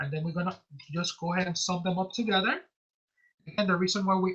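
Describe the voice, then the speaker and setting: With a bright, sharp tone, a woman talks at a mid-range pitch. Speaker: tax instructor. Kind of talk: tutorial. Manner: fast; halting.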